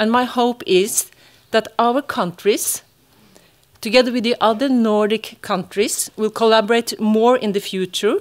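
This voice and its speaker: A Norwegian accent at a fairly slow pace, with ordinary pitch variation. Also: woman, fairly high pitch for a woman. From Norway. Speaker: psychologist and university lecturer. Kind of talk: conference talk. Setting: conference hall with audience. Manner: halting.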